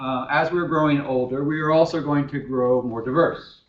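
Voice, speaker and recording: Fairly high in pitch, this man's voice shows ordinary pitch variation. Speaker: professor. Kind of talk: lecture. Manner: halting.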